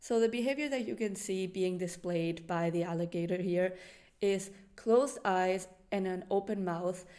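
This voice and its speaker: A woman with a non-native accent and a dark, mellow tone speaks at a moderate pace and medium pitch, with ordinary pitch variation. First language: not English. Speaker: animal channel presenter. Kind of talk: educational presentation.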